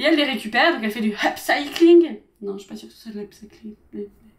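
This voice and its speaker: A woman speaks in an animated tone with lively intonation. Her pitch is high. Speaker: beauty and lifestyle youtuber. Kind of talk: casual product review vlog. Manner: fast.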